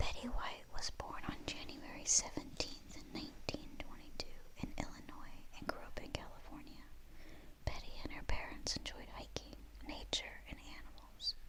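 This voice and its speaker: Whispering in a gentle tone at a moderate pace, the speaker is heard over noticeable background noise. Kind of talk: whispered bedtime storybook reading, ASMR. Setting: studio, quiet close-mic recording. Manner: whispered, soft, gentle.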